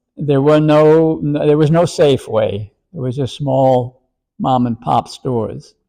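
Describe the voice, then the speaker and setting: With a New York accent, a man talks at a fairly slow pace in a dark, mellow tone. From New York City (the Bronx). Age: 90s. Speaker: retirement home resident. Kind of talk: interview.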